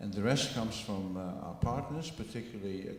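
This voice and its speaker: Over noticeable background noise and audible room echo, a man with a Dutch accent speaks at a fairly low pitch with ordinary pitch variation. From Netherlands. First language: Dutch (speaking French). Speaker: biotech company director. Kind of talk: conference presentation. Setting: meeting with audience. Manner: slow, deliberate for interpreter; halting with fillers.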